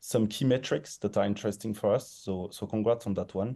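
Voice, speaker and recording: The voice has a dark, mellow tone and moves at a moderate pace against a quiet background. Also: man. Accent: strong French. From France. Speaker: investor jury member giving pitch feedback. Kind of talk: pitch feedback on a panel.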